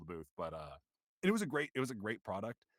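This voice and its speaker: On a very clean recording with a silent background, a man with an American accent speaks with vocal fry. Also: dry, close sound with no echo. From US Pacific Northwest, Seattle. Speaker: voice actor. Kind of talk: interview.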